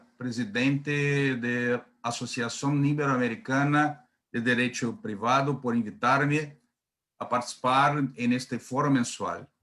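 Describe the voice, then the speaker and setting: Fairly high in pitch, a man speaks with a Brazilian accent and a bright, sharp tone. His pitch varies in an ordinary way, and the recording is very clean with a silent background. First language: Portuguese (speaking Spanish). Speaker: panel moderator. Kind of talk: formal event introduction. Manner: halting.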